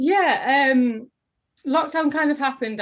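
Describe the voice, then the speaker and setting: This woman speaks in a Teesside accent. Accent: Teesside accent, often taken for Geordie. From northern England, Middlesbrough (Teesside). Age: 30s. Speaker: actor and drama teacher. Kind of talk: interview. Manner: animated.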